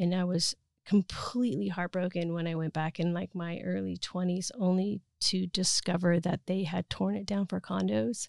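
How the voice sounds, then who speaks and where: A woman in an ordinary speaking voice, fairly low in pitch, with ordinary pitch variation, a moderate pace and a dry, close sound with no echo. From US West (Utah, then Oregon). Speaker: filmmaker. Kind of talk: interview.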